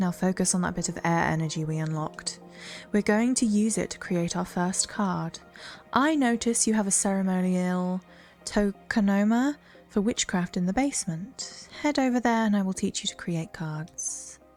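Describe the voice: Putting on a breathy character voice at a medium pitch, a woman speaks at a moderate pace with music in the background.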